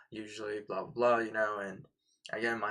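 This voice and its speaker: A man talks at a fairly quick pace with a fairly low pitch and a bright, sharp tone. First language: not English. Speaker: day trader and live streamer. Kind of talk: live-stream trading commentary. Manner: casual, self-talking with repetitions.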